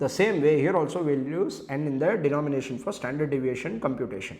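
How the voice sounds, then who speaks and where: A man with a Tamil Indian accent talks at a fairly quick pace. His pitch is fairly high, and there is audible room echo. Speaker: CA exam lecturer. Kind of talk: lecture. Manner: fast.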